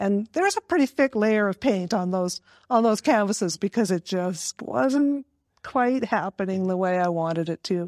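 In a very clean recording with a silent background and a dry, close sound with no echo, a woman uses an ordinary speaking voice with ordinary pitch variation at a moderate pace. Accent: Canadian. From northern British Columbia, Canada. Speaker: arts council organizer. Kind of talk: casual interview.

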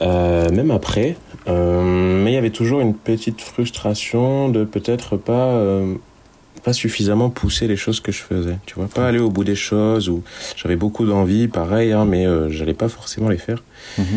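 An ordinary speaking voice comes from a man with a fairly low pitch. He keeps a moderate pace and ordinary pitch variation. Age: 30s. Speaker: podcast co-host, works in music distribution. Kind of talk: casual chat.

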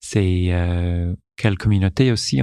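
Against a quiet background, a man speaks with an English accent. His pitch varies in an ordinary way. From Newfoundland, Canada. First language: English (speaking French). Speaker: corporate digital communications director. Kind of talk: interview. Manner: halting, with many repetitions.

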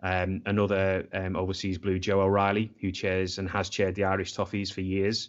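A man's very deep, low-pitched voice with a Scouse accent. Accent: Scouse (Liverpool English). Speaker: football supporters' club member. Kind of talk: casual chat.

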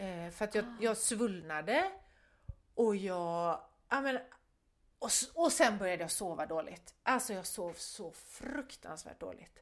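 A woman speaks very slowly with lively intonation, leaving long, frequent pauses. The recording is very clean, with a silent background. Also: medium pitch for a woman, big swings in loudness. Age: 50s. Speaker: podcast co-host, photographer. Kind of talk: casual chat.

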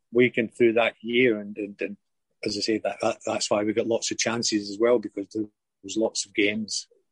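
Speaking in a Lanarkshire accent, a man keeps a medium pitch and monotone, flat intonation. His fairly quick delivery has big swings in loudness, with dry, close sound and no echo. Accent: Lanarkshire Scottish. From Scotland, Wishaw, Lanarkshire. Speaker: former professional footballer. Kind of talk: interview. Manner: halting, many fillers and repetitions.

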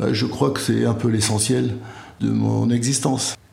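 A man's voice with audible room echo. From France, Béarn. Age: 70s. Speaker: retired literature professor. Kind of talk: casual chat. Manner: slow, reflective.

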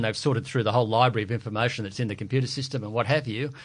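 Here a man talks at a very fast pace with an Australian accent. His pitch is medium and his intonation fairly even. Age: 50s. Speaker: economist. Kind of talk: podcast panel discussion.

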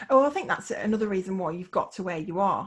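Somewhat breathy woman's voice, medium in pitch, animated and fairly quick. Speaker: podcast host. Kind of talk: casual interview chat. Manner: animated, excitable.

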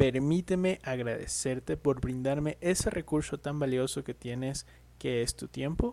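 Delivered at a fairly slow pace, the voice has a dark, mellow tone and ordinary pitch variation. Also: man. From Ecuador. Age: 30s. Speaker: podcast host, banking consultant. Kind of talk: solo podcast introduction.

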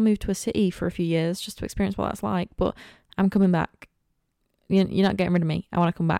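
In a Lincolnshire accent, a woman speaks very fast at a medium pitch with fairly even intonation and a dark, mellow tone, the sound dry and close with no echo on a very clean recording with a silent background. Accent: northern English (Lincolnshire). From northern England, Lincolnshire coast. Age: 20s. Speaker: podcaster, university student. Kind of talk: casual solo podcast chat. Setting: recording alone at home. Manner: chatty, rambling.

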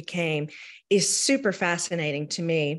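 An ordinary speaking voice at a moderate pace, with ordinary pitch variation and a quiet background. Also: woman. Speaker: champagne expert.

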